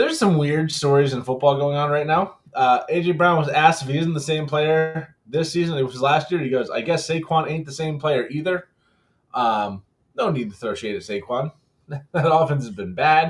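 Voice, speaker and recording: A somewhat breathy male voice, fairly high-pitched for a man, with ordinary pitch variation and a moderate pace. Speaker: sports podcast co-host. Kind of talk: casual chat.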